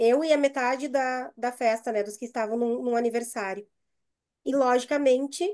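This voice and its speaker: Against a quiet background, a woman speaks in a southern Brazilian accent with a high pitch and a dark, mellow tone. Her pace is fairly slow and her pitch variation ordinary. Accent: gaúcho (southern Brazilian) Portuguese. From Brazil, Rio Grande do Sul. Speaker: university staff member, mental health panelist. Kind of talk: panel discussion, personal story. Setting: video call. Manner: hesitant, many fillers and repetitions.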